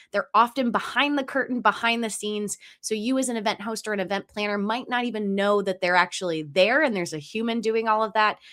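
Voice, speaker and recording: A woman with a Philadelphia accent talks at a very fast pace in a bright, sharp tone, her fairly high pitch showing ordinary variation on a very clean recording with a silent background. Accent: Philadelphia-area American. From US, Delaware County, Pennsylvania. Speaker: podcast host. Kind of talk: episode intro; podcast interview.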